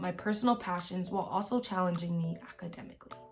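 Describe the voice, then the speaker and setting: A woman talks at a very fast pace with fairly even intonation. Noticeable background noise runs underneath. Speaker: YouTuber giving college advice. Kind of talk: reading aloud; casual vlog talk. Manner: stumbles over words when reading; filler-heavy casual speech.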